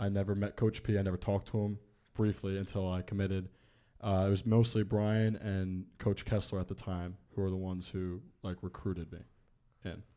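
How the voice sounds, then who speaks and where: A man's dark, mellow tone at a fairly low pitch, monotone and flat, fairly quick, with an American accent on a very clean recording with a silent background. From Long Island, New York. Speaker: college baseball player. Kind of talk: casual interview chat.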